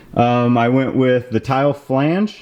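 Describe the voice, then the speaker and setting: Noticeable background noise runs under the recording. The speaker is a man with a medium pitch. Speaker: car DIY youtuber. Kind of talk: tutorial. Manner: hesitant, many fillers.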